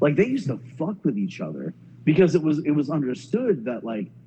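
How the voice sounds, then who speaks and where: With music in the background, a man speaks at a moderate pace in an American accent with lively intonation. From US Southeast (Myrtle Beach, SC and Atlanta). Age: 30s. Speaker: musician. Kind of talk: casual interview. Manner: repetitive, stammering restarts.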